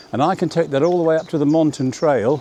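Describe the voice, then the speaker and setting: A man speaks fairly quickly over noticeable background noise. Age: 70s. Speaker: vlogger. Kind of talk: casual vlog narration. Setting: outdoors on a bicycle. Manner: relaxed, meandering with fillers.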